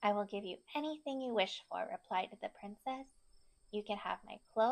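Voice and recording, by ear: With ordinary pitch variation, a text is read aloud in a natural voice.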